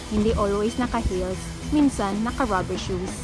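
With clear music in the background, a woman's voice comes through dry, without any echo. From Philippines. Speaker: vlogger, comedian. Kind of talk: casual talk to camera, park tour vlog. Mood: cheerful, joking. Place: garden. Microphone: phone near.

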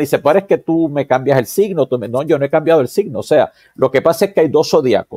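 A man speaks with a dark, mellow tone and ordinary pitch variation. The sound is dry with no echo over a quiet background. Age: 60s. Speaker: psychologist and vedic astrologer; guest. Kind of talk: interview. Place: home room. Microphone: webcam.

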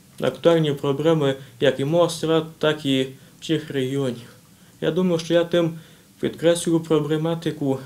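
Speaking at a fairly slow pace, a man with a fairly high pitch keeps a monotone, flat intonation. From Transcarpathia, Ukraine (Svaliava district); Ukraine. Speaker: young writer and poet; interview guest. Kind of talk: TV interview; interview answer. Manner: halting. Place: office.

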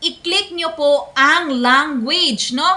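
A woman projects her voice loudly, pitched high, with lively intonation. Noticeable background noise runs under her. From Philippines, Visayas. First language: Bisaya (speaking Tagalog). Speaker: content creator. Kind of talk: tutorial. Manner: polite.

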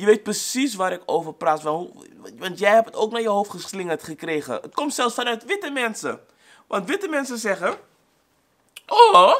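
Over a quiet background, a man with a high pitch sounds animated, his intonation lively and his tone bright and sharp. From Suriname, raised in the Netherlands. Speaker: YouTuber. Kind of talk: vlog monologue. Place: home room.

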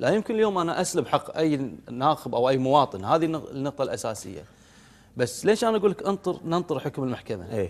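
Speaking with a Kuwaiti accent at a fairly quick pace, a man uses a fairly high pitch, very wide pitch swings and vocal fry. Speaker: member of parliament; guest. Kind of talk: TV political interview. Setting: TV studio. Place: studio. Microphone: lapel.

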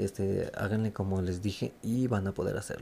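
The voice is soft-spoken, with a dark, mellow tone. It moves at a moderate pace with fairly even intonation. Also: man. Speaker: gaming youtuber. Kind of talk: tutorial. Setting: at home at night. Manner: hesitant, many fillers.

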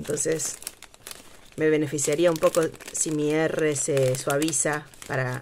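Over light background noise, a woman speaks very slowly in a very deep, low pitch, her intonation flat and monotone, with long and frequent pauses. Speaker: craft youtuber. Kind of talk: craft tutorial. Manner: casual, hesitant with fillers. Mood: relaxed, chatty.

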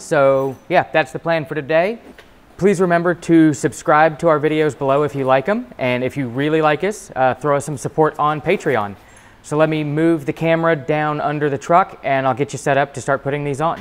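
The pace here is moderate. A man talks with ordinary pitch variation. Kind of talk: tutorial. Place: garage. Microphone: phone near.

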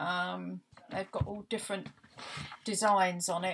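At a fairly slow pace, a woman is speaking. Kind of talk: casual vlog chat.

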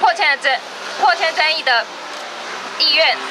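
Over noticeable background noise, a raised, projected voice with a Taiwanese accent carries at a moderate pace. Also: woman. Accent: Taiwanese Mandarin. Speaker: housing rights activist. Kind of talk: protest speech. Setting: outdoors. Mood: firm, critical. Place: street. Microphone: handheld.

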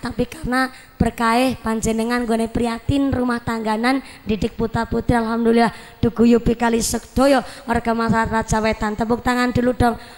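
A high-pitched woman speaks at a fairly quick pace over noticeable background noise. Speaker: preacher. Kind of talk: humorous sermon.

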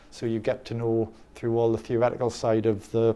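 A man's very fast speech in an English accent, dark and mellow in tone, with monotone, flat intonation. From England. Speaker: dating coach. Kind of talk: interview. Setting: conference. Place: studio. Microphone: lapel.

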